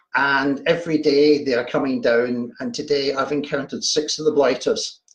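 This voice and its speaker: In a Glaswegian accent, the speaker goes at a moderate pace with ordinary pitch variation. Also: man. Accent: Glaswegian Scottish. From Scotland, Glasgow. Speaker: horror fiction writer. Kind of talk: casual livestream chat. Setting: home livestream, video. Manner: hesitant, repeats words.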